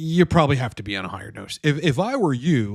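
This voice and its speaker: A man with an American accent in a plain, everyday voice, with lively intonation at a moderate pace. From New Jersey. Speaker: TRT coach. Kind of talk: live Q&A stream. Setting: livestream. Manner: casual, filler-heavy.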